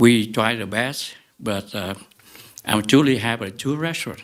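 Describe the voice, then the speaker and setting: A man with a Vietnamese accent and ordinary pitch variation. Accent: Vietnamese-accented English, limited. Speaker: restaurant owner, appellant. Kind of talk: public hearing statement. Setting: public meeting with mic. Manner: halting, many fillers.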